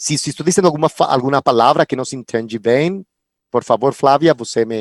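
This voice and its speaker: In a very clean recording with a silent background and a dry, close sound with no echo, a man with a Spanish accent speaks at a fairly quick pace with ordinary pitch variation. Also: fairly high pitch for a man. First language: Spanish (speaking Portuguese). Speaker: film commission coordinator. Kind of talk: panel talk. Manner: halting.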